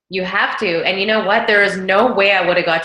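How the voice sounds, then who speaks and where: Speaking very fast, a woman keeps to a medium pitch. Audible room echo and noticeable background noise fill the recording. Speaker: network marketing team leader. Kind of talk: team meeting talk on video call. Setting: video call. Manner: animated.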